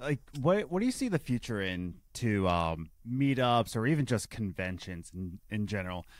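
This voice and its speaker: On a very clean recording with a silent background, a man with an ordinary speaking voice talks at a moderate pace in a fairly low pitch with lively intonation. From Philadelphia, US. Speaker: podcast co-host, restaurant worker. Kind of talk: casual chat.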